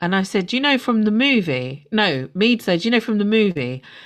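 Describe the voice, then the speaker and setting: In a very clean recording with a silent background, a woman with a medium-pitched voice speaks at a moderate pace with a London accent. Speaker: podcast host. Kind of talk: casual chat.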